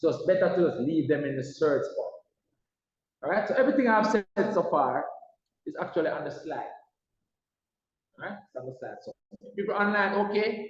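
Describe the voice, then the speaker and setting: A man talks at a fairly quick pace in a high pitch, his intonation lively. He leaves long, frequent pauses. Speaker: maths teacher. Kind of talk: lecture. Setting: online class. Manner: loud.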